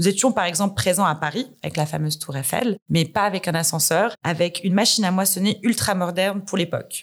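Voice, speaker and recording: A plain, everyday voice from a woman, medium in pitch, with ordinary pitch variation, a fairly quick pace and hardly any pauses. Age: 30s. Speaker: corporate communications director. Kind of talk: interview.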